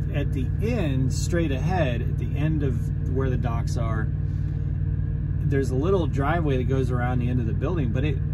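A man keeps a moderate pace while loud background noise fills the recording. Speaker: truck driver vlogger. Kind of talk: casual vlog chat, storytelling. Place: car. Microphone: phone near.

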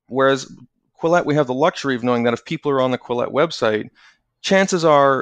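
A man with a Canadian accent has a normal speaking voice at medium pitch with ordinary pitch variation, recorded with a dry, close sound with no echo and a quiet background. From Canada. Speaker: magazine editor. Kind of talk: casual interview conversation.

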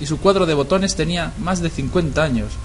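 Amid noticeable background noise, a man speaks at a fairly high pitch. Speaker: creepypasta narrator. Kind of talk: scripted horror story narration, first person; ghost story telling, tense and hushed, building dread.

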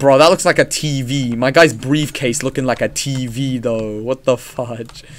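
A man keeps a moderate pace and hardly pauses at all. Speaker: gaming streamer. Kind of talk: live gameplay commentary. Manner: loud; animated. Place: home room.

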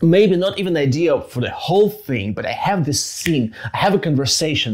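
With a Russian accent, a man speaks at a fairly quick pace with lively intonation against a quiet background. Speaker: podcast host. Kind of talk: casual interview; conversational podcast talk. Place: home room. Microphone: lapel.

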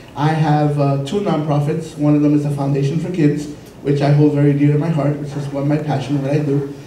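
A man with an American accent speaks at a fairly high pitch in a monotone, flat way. Audible room echo and light background noise are present. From New York. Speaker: city commission candidate. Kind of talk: candidate forum debate. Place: meeting room.

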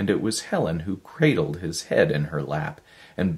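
What you hear is a natural reading voice.

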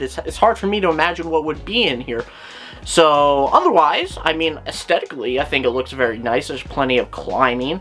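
A man speaks fairly quickly. Faint music sits in the background. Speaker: reptile channel host. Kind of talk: commentary. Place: home room. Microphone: webcam.

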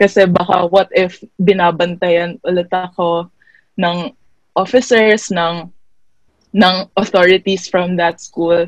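At a medium pitch, a woman speaks at a fairly slow pace in a monotone, flat way, with long, frequent pauses and a quiet background. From Philippines. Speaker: student activist; webinar panelist. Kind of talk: personal testimony. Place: home room. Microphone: earbuds.

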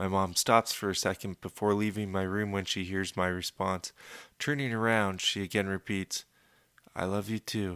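A man with a fairly low pitch speaks in a bright, sharp tone at a moderate pace. The sound is dry with no echo, and the background is quiet. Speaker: audiobook narrator. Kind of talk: audiobook reading of a novel, first-person narration with quoted dialogue.

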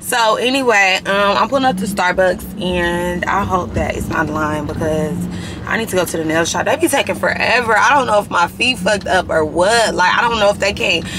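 At a fairly quick pace, a woman talks with ordinary pitch variation over noticeable background noise. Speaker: vlogger. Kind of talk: casual vlog chat. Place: car. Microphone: phone near.

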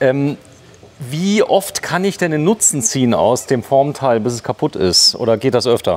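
The man's intonation is lively. He talks at a moderate pace. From Saarland, Germany. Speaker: video host visiting a factory. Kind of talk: guided factory tour chat. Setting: workshop hall. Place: factory. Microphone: phone near.

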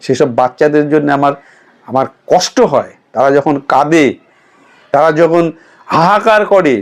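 A man talks with a fairly high pitch, ordinary pitch variation and very even loudness. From West Bengal. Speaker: political commentator. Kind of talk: political commentary monologue. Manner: animated.

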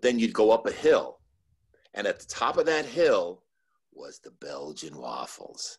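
The speaker talks at a fairly slow pace in an American accent, with a quiet background. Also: man. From New Jersey, Cliffside Park. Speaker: former park worker. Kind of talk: panel interview. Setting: video call. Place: home room. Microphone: video call.

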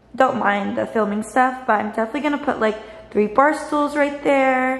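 Audible room echo is present. A woman talks, her pitch varying in an ordinary way. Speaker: new tenant vlogger. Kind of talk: casual vlog chat. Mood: happy, excited. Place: kitchen. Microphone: phone near.

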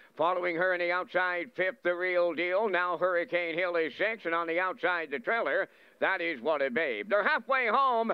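At a moderate pace and with hardly any pauses, a man speaks in a high pitch. His loudness stays very even, with ordinary pitch variation. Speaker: race caller. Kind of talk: live commentary.

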